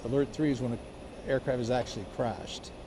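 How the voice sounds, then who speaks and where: A man speaks at a fairly quick pace with fairly even intonation. His pitch is medium, and there is noticeable background noise. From Miami, Florida (born in Colombia). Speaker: firefighter. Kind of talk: interview. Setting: fire station. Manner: halting, many fillers and restarts.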